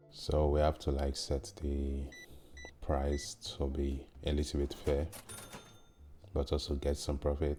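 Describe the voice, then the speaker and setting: A man speaks at a fairly slow pace in a very deep, low voice with a dark, mellow tone, a somewhat breathy quality, flat monotone intonation, very even loudness and long, frequent pauses. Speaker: gaming youtuber. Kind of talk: gameplay commentary.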